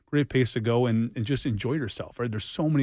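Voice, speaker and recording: A man speaks in a normal speaking voice with an American accent and medium pitch. His pace is fairly quick, his intonation fairly even. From Boston. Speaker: business owner. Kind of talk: radio interview.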